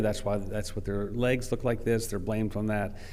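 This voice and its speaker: Room echo is audible as a man speaks fairly quickly at a fairly low pitch with fairly even intonation. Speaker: vascular specialist presenting at a conference. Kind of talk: conference lecture.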